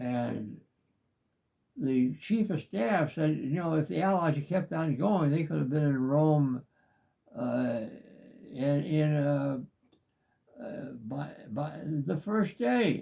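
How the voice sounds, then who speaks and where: The speaker's dark, mellow tone is somewhat breathy, moving at a very slow pace with long, frequent pauses. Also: man. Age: 80s+. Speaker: war veteran. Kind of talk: interview answer.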